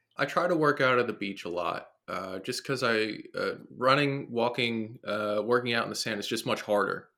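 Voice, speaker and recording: Over a silent background in a very clean recording, a man speaks with a New Jersey accent. His medium-pitched voice has a bright, sharp tone, ordinary pitch variation and a moderate pace. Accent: New Jersey American. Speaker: fitness trainer and coach. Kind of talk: casual interview conversation. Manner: rambling, filler-heavy.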